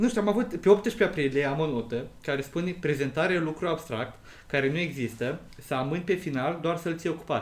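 A man speaks at a moderate pace in an ordinary speaking voice, his pitch fairly high and his intonation lively. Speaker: podcast co-host. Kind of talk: casual chat.

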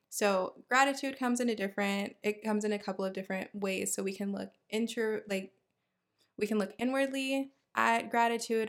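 A woman with a plain, everyday voice speaks at a fairly quick pace, her medium pitch carried in fairly even intonation. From Houston, Texas. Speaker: podcast host, dentist. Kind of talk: solo podcast monologue.

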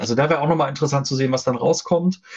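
A man talks with a fairly high pitch and a somewhat breathy sound. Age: 40s. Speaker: software developer. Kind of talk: casual interview. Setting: live stream.

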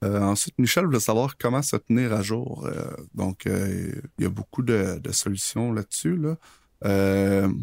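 A man with a Quebec accent speaks very slowly at a fairly low pitch, with lively intonation and hardly any pauses. The sound is dry and close, with no echo. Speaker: podcast co-host, freelance web programmer. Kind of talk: casual chat.

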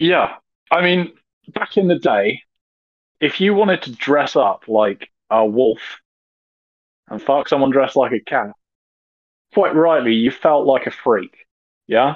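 A man with a British accent, fairly high-pitched, at a fairly slow pace with long, frequent pauses and very wide pitch swings. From Britain. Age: 30s. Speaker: podcast guest. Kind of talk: casual chat.

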